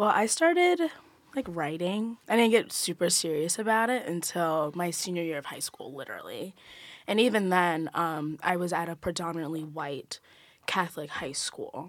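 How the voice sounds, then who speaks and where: With lively intonation and big swings in loudness, a woman speaks at a moderate pace in an unremarkable speaking voice, fairly low in pitch, on a very clean recording with a silent background. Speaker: college student, poet. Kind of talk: casual chat. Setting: studio.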